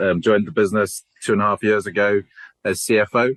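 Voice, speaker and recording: A man with a South African accent, fairly low-pitched, at a fairly quick pace. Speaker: company CEO. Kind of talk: podcast interview.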